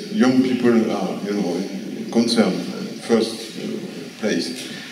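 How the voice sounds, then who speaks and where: Very slowly and with lively intonation, a man talks amid light background noise and audible room echo. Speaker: prehistorian and artist; guest lecturer. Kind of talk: Q&A answer. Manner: halting. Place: hall.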